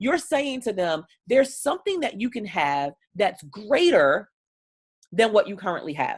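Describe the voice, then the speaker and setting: Speaking with an American accent at a moderate pace, a woman has a fairly high voice with vocal fry. Her tone is animated, with very wide pitch swings. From Baltimore, Maryland, US. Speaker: business coach and speaker. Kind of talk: online training talk.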